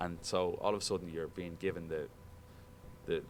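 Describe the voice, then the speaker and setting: Very deep, low male voice in an Irish accent, fairly quick, with audible room echo. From Ireland, Dublin. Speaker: sports broadcaster. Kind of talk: guest talk to broadcasting students. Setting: classroom. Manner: casual, animated.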